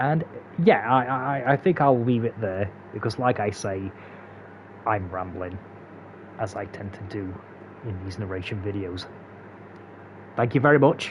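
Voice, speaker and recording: With a Derbyshire accent and a fairly low voice, a man talks at a moderate pace with long, frequent pauses, big swings in loudness and ordinary pitch variation, over noticeable background noise. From England, Derbyshire. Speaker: gaming speedrun tutorial creator. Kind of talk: tutorial narration outro. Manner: halting, many fillers and repeats.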